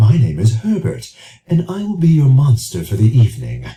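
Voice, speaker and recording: Using a put-on character voice, a man speaks breathily at medium pitch and a moderate pace. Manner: polite, formal.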